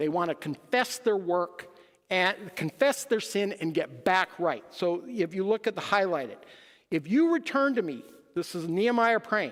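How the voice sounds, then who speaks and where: Pitched high for a man, his voice moves at a moderate pace with lively intonation. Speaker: lay preacher. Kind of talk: sermon.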